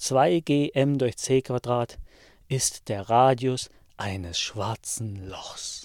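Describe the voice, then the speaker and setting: This man's medium-pitched voice shows ordinary pitch variation as he talks at a very slow pace. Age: 50s. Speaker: science podcaster. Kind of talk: scripted lecture.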